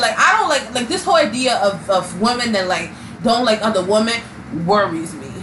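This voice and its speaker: Against noticeable background noise and audible room echo, a woman speaks with very wide pitch swings. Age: 20s. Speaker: podcast co-host. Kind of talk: casual chat.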